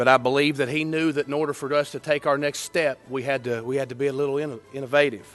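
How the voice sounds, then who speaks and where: With music in the background, a man with a Kentucky accent rushes along at a very fast pace with hardly any pauses, his fairly high voice in a flat monotone. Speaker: former college quarterback. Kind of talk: induction speech.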